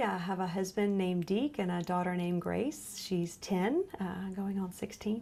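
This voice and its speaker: At a moderate pace, a woman speaks at medium pitch in a Lowcountry accent. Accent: US Southern, Lowcountry. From South Carolina Lowcountry, Beaufort. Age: 30s. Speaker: genetic counselor, cancer patient. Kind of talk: interview testimony.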